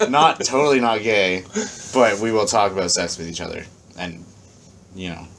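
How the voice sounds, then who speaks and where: Speaking at a moderate pace, a man uses ordinary pitch variation, with long, frequent pauses and big swings in loudness. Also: fairly low pitch for a man. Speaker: podcast co-host. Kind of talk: casual chat. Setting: basement. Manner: animated.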